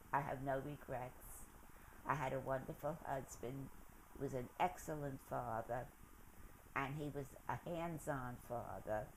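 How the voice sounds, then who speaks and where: In a New York accent, a woman with a very deep, low voice speaks at a fairly slow pace, with fairly even intonation and long, frequent pauses. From New York City, the Bronx. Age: 90s. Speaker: interviewee recounting her life. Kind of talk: oral history interview. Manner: halting.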